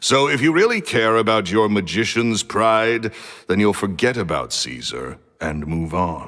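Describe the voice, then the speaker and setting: A man's booming, fairly low voice carries a stern tone and very wide pitch swings. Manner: curt, stern.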